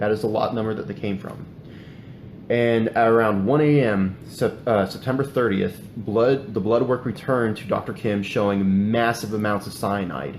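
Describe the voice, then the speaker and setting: Speaking at a moderate pace, a man has a fairly low pitch and ordinary pitch variation. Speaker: true crime podcast host. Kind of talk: casual podcast narration of a case. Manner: halting, many fillers and restarts.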